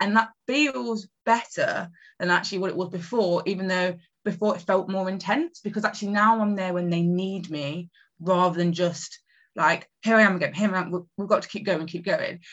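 A woman speaks with an East Midlands accent. Her pitch is medium and her pace moderate. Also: ordinary pitch variation. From England, Nottingham. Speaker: marketing strategist. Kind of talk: interview.

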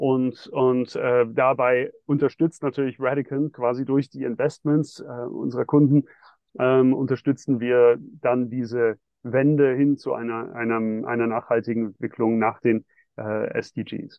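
With monotone, flat intonation, a man speaks at a fairly slow pace and medium pitch. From Switzerland (Geneva). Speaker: bank co-founder and sustainable investment executive. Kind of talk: interview. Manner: halting, many fillers.

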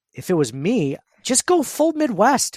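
A man's voice swings very widely in pitch on a very clean recording with a silent background. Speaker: podcast host. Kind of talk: casual sports podcast chat.

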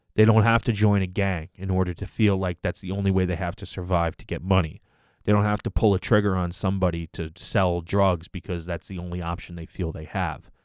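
On a very clean recording with a silent background and a dry, close sound with no echo, a man with a very deep, low pitch talks fairly quickly in a flat monotone, with hardly any pauses and big swings in loudness. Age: 30s. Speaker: podcast host. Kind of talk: solo podcast commentary. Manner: casual, with many filler words.

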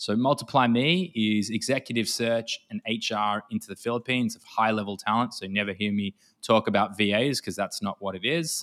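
A man with an Australian accent talks at a fairly quick pace with hardly any pauses, at medium pitch with ordinary pitch variation, in a very clean recording with a silent background and a dry, close sound with no echo. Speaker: e-commerce consultant. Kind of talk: interview conversation about business systems.

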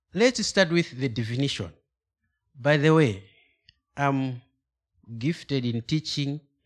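A man with a Malawian accent and ordinary pitch variation, on a very clean recording with a silent background. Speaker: guest preacher. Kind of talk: sermon. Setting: church. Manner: halting, hesitant.

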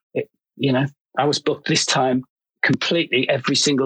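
The speaker talks at a fairly quick pace. They have a Liverpool accent. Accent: Scouse. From Liverpool, England. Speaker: fashion photographer. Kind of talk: casual chat. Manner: halting, many fillers.

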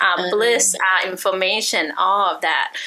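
With an ordinary speaking voice, a woman talks at a moderate pace in a medium pitch. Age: 40s. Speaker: spiritual reader. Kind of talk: interview.

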